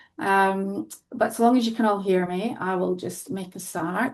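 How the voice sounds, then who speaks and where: A woman with a Scottish accent, medium pitch and fairly even intonation, over a quiet background. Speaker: qualitative health researcher. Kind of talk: research presentation.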